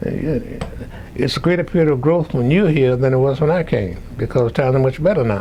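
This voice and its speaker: Medium-pitched man at a fairly quick pace, with noticeable background noise. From Louisiana. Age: 90s. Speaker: retired professor. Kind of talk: oral history interview. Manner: halting.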